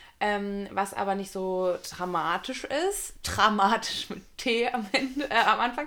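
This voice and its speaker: A woman speaks at a very slow pace with hardly any pauses. Her tone is bright and sharp, with a medium pitch and ordinary pitch variation. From Ruhr area, near Dortmund. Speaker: podcast co-host. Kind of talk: casual chat.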